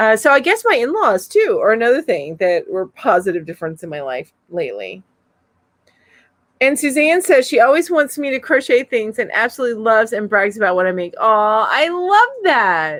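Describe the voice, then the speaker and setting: Speaking at a moderate pace, a woman with a high pitch uses very wide pitch swings and an animated tone, on a very clean recording with a silent background. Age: 50s. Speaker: crochet youtuber. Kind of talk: casual chat. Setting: live stream.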